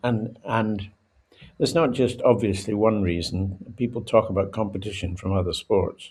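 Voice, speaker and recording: Somewhat breathy, a man with a Scottish accent speaks at a moderate pace in a fairly low pitch. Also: ordinary pitch variation. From Scotland. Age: 80s+. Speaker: former rugby international. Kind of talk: podcast interview.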